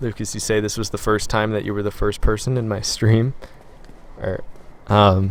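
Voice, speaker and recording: Quiet and monotone with flat intonation, a man with a fairly low pitch speaks at a moderate pace with long, frequent pauses amid noticeable background noise. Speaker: gaming live streamer. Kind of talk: live stream chat while gaming. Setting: live stream. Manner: quiet, taking it easy on voice.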